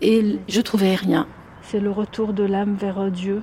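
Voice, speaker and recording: At a very slow pace, a woman speaks at a medium pitch with monotone, flat intonation. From Algeria, Algiers. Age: 50s. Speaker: psychologist and author. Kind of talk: interview.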